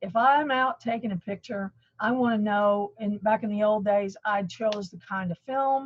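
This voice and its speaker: This woman's voice sits at a medium pitch and sounds somewhat breathy. She talks at a moderate pace. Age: 60s. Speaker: color management expert. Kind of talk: webinar presentation.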